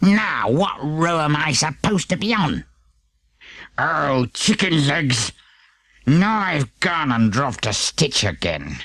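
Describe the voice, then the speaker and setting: A man's put-on character voice, growling, fairly high in pitch, with lively intonation and a fairly slow pace. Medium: read story. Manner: grumbling.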